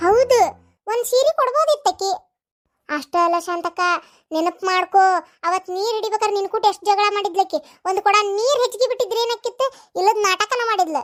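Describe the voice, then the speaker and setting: A cartoonish character voice that sounds female speaks at a moderate pace with an extremely high pitch. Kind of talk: village comedy cartoon dialogue.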